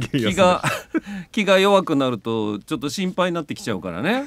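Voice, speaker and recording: The speaker uses a Kansai accent at a fairly quick pace, with very wide pitch swings and big shifts in loudness. The sound is dry, with no echo. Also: man. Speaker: voice actor. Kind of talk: casual radio talk show banter. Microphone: studio mic.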